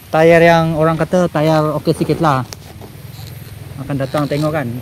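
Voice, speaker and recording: A man speaks at a fairly slow pace in a fairly high pitch, monotone and flat. Background noise is noticeable. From Sabah, Malaysia (Kota Marudu). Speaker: travel vlogger. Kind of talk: casual vlog talk to camera.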